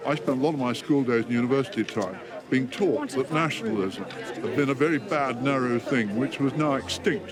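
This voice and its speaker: With music in the background and audible room echo, a man of medium pitch speaks at a fairly quick pace with lively intonation. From England. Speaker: interviewee at a British event. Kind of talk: vox pop interview.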